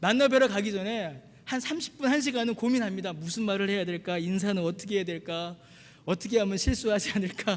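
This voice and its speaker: Ordinary pitch variation and a fairly quick pace, with a Gyeongsang accent. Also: man, high pitch for a man. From Busan, South Korea. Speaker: pastor. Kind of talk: sermon.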